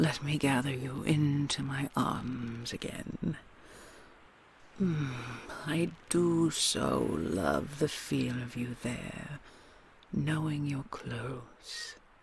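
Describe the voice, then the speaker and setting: A man's put-on character voice, fairly high in pitch, at a very slow pace with long, frequent pauses. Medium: audio drama. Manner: soft, doting, slightly condescending.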